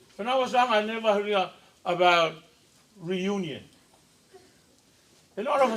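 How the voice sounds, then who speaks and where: A man with a Samoan accent speaks at a fairly quick pace. His pitch is high, with ordinary variation. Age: 70s. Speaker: preacher. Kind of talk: sermon.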